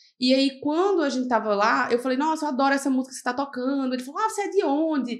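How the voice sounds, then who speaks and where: Over noticeable background noise, a woman speaks very fast in a high, animated voice. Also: ordinary pitch variation. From Serra Talhada, Pernambuco, Brazil. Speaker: medical resident in urology. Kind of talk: podcast interview, casual chat.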